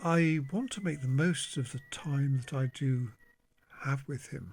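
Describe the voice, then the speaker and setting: A man speaks quietly and somewhat breathily at a fairly high pitch, with ordinary pitch variation and a fairly slow pace. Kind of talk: casual monologue to camera. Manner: slow, halting.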